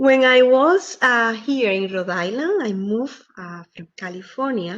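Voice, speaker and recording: A woman with a Spanish accent speaks fairly slowly at a fairly high pitch, with very wide pitch swings and big swings in loudness. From Dominican Republic. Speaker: theater company co-founder. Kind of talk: presentation. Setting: video call.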